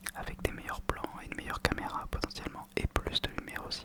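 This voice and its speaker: A man whispering at a fairly quick pace over noticeable background noise. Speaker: ASMR content creator. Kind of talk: casual talk to camera. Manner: whispered, soft-spoken.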